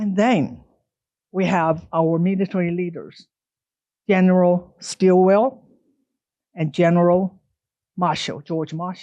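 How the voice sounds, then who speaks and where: Pausing long and often, a woman with a Chinese accent speaks very slowly in a fairly low voice with fairly even intonation. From China. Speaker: author and speaker. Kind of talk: public lecture.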